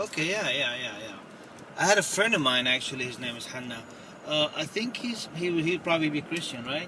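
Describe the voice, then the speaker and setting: A man speaks at a fairly quick pace in a fairly high pitch, his intonation lively over noticeable background noise. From Kuwait (Palestinian, born near Jenin). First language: Arabic. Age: 40s. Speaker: shop owner. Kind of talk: casual chat.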